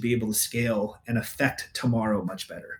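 A man speaks at a fairly quick pace with a West Coast US accent. His voice is somewhat breathy. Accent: General American, West Coast. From US West Coast, Northern California (Bay Area). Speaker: data analytics leader. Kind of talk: casual interview.

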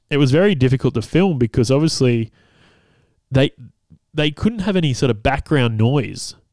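Medium pitch from a man, lively intonation, very even loudness, a moderate pace with long, frequent pauses, and a dry, close sound with no echo in a very clean recording with a silent background. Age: 30s. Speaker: podcast host and comedian. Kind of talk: casual solo monologue. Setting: home recording, partner cooking nearby. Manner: halting, many fillers.

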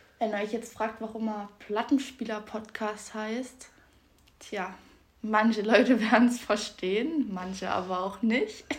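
With noticeable background noise behind her, a woman speaks at a fairly high pitch with fairly even intonation. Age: 20s. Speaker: podcast co-host. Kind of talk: casual chat.

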